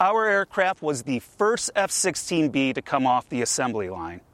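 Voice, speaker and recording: An unremarkable speaking voice at a fairly slow pace, with a dry, close sound and no echo. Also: man. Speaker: museum collections director. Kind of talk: casual interview chat.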